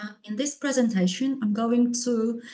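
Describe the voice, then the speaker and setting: In a Polish accent, a woman speaks at a fairly high pitch, somewhat breathy, with a dark, mellow tone and fairly even intonation. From Poland. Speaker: linguist and English teacher. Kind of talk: conference presentation. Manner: halting, many fillers and repetitions.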